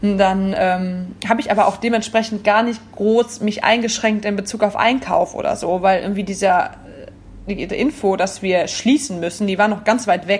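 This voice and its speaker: Her speech keeps a moderate pace and a medium pitch, with fairly even intonation. This woman has a plain, everyday voice. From Rhineland, Oberbergischer Kreis (Wipperfürth). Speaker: café owner. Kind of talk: casual interview.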